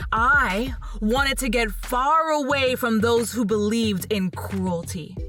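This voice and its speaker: A woman's fairly high voice over background music. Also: ordinary pitch variation. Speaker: podcast storyteller / reader. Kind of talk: spoken-word reading of quotes as a speech.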